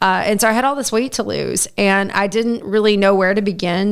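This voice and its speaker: Using a plain, everyday voice, a woman speaks at a fairly quick pace with medium pitch and fairly even intonation. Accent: American. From US Midwest (southern Indiana). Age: 40s. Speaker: TV meteorologist. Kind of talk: casual interview chat.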